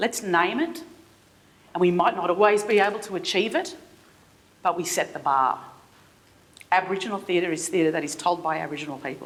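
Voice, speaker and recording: Someone with an Australian accent talks at a fairly quick pace with ordinary pitch variation over noticeable background noise. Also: woman. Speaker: theatre artistic director. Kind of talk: keynote speech. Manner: halting, many repetitions.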